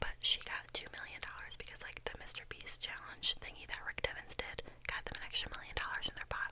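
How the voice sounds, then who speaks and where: A woman whispering at a very fast pace, with noticeable background noise. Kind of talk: casual talk to camera. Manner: whispered, rambling.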